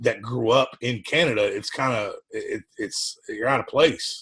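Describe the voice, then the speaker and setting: This man's pace is fairly slow. He talks in a Southern US accent. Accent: Southern US (Georgia). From US South. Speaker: podcast co-host. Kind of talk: casual chat.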